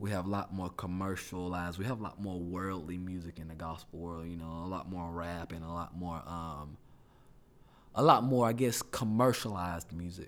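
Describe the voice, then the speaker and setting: A man with a Southern US accent and a very deep, low pitch talks at a moderate pace, with ordinary pitch variation and big swings in loudness. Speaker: church music minister and student. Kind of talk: casual chat.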